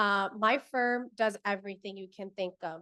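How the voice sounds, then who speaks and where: A woman with a fairly high pitch talks at a fairly slow pace. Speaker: family lawyer. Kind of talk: panel discussion. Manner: loud.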